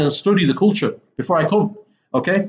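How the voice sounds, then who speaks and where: At a fairly quick pace, a man speaks with a Mancunian accent. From northern England, Manchester. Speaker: English teacher. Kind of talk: lecture. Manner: casual, frequent 'okay' fillers.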